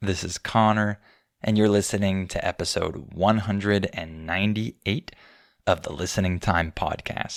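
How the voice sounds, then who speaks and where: Recorded very cleanly against a silent background, the dry, close sound with no echo carries a fairly slow speaker with an American accent. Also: man. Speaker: English teacher podcast host. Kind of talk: educational podcast monologue.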